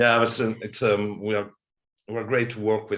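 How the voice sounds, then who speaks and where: In a French accent, a man with a fairly low pitch talks with monotone, flat intonation. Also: quiet background. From France. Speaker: television head of production. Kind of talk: webinar panel discussion. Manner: halting.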